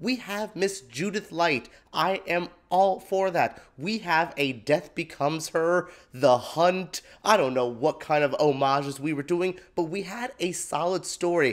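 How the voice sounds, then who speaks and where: A man with a high pitch speaks at a fairly slow pace, his pitch varying in an ordinary way. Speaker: pop culture reviewer. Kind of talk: TV episode recap and review. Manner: animated, conversational.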